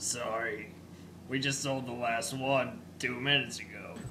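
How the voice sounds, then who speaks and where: A man puts on a character voice while clear noise runs in the background. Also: medium pitch for a man, moderate pace. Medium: comedy sketch.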